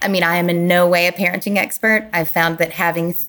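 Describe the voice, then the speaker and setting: A woman with an American accent uses an ordinary speaking voice at a fairly low pitch. She keeps a moderate pace and fairly even intonation. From US South, Kentucky. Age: 40s. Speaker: clothing brand founder. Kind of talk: casual interview.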